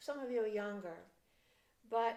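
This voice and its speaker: A woman speaks at a fairly high pitch. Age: 70s. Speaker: clergy. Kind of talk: reflective devotional talk. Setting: home.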